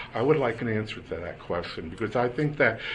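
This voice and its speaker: A man with an American accent talks at a medium pitch with ordinary pitch variation. The room echo is audible and there is noticeable background noise. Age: 60s. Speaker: public commenter at election board meeting. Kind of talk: public comment testimony. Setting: public board meeting. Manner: halting, with repetitions.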